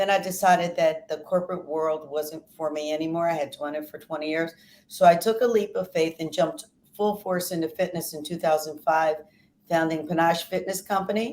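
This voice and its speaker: This woman has an ordinary speaking voice with an American accent, a fairly low pitch, fairly even intonation and a fairly quick pace. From US Northeast (Philadelphia). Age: 60s. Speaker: fitness trainer. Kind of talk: interview.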